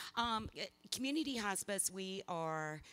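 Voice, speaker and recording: A woman with a Southern US accent on a very clean recording with a silent background. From US South, South Mississippi. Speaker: hospice chief executive. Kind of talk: community presentation.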